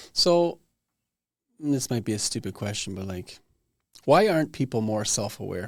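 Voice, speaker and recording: A man with a normal speaking voice talks at a moderate pace and medium pitch with lively intonation. The recording is very clean with a silent background. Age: 40s. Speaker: podcast host. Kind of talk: casual interview chat.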